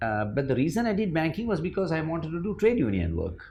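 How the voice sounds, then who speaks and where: A somewhat breathy male voice with very wide pitch swings, a moderate pace and audible room echo. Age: 60s. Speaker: former managing director of an IT firm. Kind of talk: interview.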